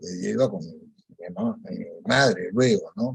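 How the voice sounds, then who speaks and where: Very wide pitch swings in a man's somewhat breathy voice. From Peru. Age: 70s. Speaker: rosary group founder. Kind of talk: radio interview testimony.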